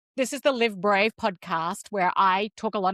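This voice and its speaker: On a very clean recording with a silent background and a dry, close sound with no echo, a woman speaks at medium pitch with ordinary pitch variation. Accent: Australian. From Australia. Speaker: podcast host. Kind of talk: interview conversation.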